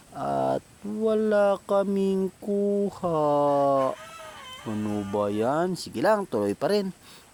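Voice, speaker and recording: Noticeable background noise surrounds this man, whose pitch swings very widely. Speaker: vlogger. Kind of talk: vlog narration. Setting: outdoors. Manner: casual.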